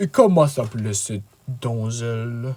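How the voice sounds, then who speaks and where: Putting on a character voice, a man speaks at a moderate pace and a medium pitch. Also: ordinary pitch variation. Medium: read story. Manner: hearty, condescending.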